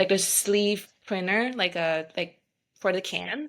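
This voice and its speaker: At a moderate pace, a woman with a Vietnamese accent speaks at a medium pitch with ordinary pitch variation. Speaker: beverage company founder. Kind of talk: podcast interview.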